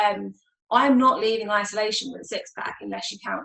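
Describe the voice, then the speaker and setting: A woman speaks at a fairly quick pace with an English accent. Her pitch sits fairly high. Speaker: mental health nurse. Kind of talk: panel discussion. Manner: casual, with many fillers.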